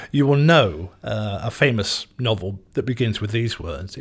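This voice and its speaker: A fairly low, somewhat breathy male voice with lively intonation, at a fairly slow pace. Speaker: former radio DJ, news correspondent; interviewee giving advice. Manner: hesitant, uses fillers.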